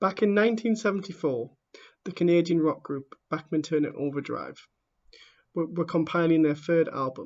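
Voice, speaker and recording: This man has a high pitch and speaks at a moderate pace with ordinary pitch variation. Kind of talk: audiobook reading. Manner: stammering.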